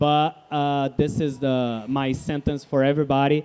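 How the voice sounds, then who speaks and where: In a Portuguese accent, a man with a fairly high pitch and a dark, mellow tone speaks in a flat monotone. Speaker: guest speaker. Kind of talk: live interview.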